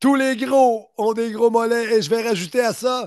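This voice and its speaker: Over a quiet background, a man with a Quebec accent speaks at an extremely high pitch. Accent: Québécois French. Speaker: wrestling podcast host. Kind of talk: casual chat.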